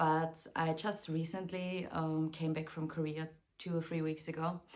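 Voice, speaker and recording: A woman with a very deep, low voice speaks at a moderate pace in a monotone, flat way. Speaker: vlogger. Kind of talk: casual vlog talk. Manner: hesitant, many filler words.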